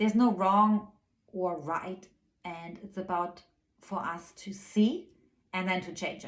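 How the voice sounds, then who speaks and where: Speaking at a fairly slow pace with long, frequent pauses, a woman's medium-pitched voice keeps fairly even intonation while her loudness swings widely. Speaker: spiritual guide and channeler. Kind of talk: spiritual weekly guidance monologue. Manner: soft-spoken; hesitant with frequent fillers.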